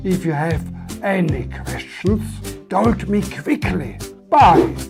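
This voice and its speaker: A man with an Austrian accent speaks with music in the background. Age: 60s. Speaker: English learner. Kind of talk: comedic English lesson dialogue.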